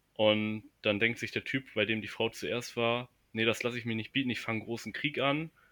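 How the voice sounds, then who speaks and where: Speaking at a moderate pace, a man has a medium pitch and a bright, sharp tone on a very clean recording with a silent background. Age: 20s. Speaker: university student. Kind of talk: casual chat. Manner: halting, many fillers.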